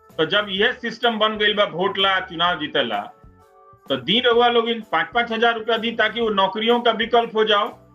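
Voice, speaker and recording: Over music in the background, a man speaks at a high pitch with fairly even intonation. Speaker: TV news anchor. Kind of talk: live talk to viewers.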